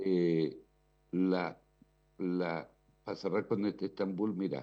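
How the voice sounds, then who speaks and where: With a dark, mellow tone, a man speaks at a very slow pace in a very deep, low pitch with ordinary pitch variation. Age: 60s. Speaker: radio commentator. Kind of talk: casual chat.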